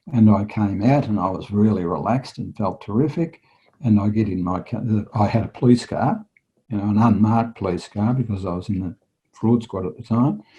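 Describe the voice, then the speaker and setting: In a dark, mellow tone, a somewhat breathy man with an Australian accent speaks at a fairly low pitch and a fairly quick pace, with ordinary pitch variation. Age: 60s. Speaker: retired police detective and hypnotherapist. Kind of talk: interview storytelling.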